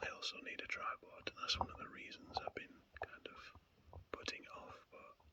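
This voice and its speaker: A man whispers. His loudness swings widely. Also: moderate pace. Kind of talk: ASMR rambling. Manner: whispered.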